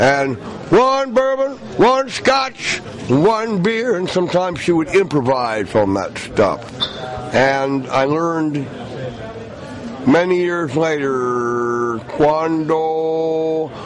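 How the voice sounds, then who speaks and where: With an American accent, a man talks at a very slow pace in a fairly high pitch, his voice making very wide pitch swings amid noticeable background noise and audible room echo. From US South, Asheville, North Carolina. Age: 60s. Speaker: blues musician. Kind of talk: interview.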